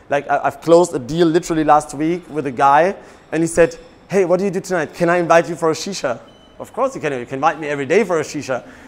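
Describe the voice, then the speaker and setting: A man with a German accent talks at a fairly quick pace in a high pitch, with ordinary pitch variation. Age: 30s. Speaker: real estate broker and coach. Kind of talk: seminar talk. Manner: animated.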